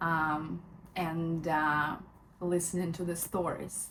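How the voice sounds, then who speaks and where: A woman's fairly low, somewhat breathy voice, very slow and flat in a monotone, with audible room echo. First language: not English. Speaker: lifestyle vlogger. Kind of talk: casual book review vlog. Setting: at home in bedroom. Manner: hesitant, many fillers.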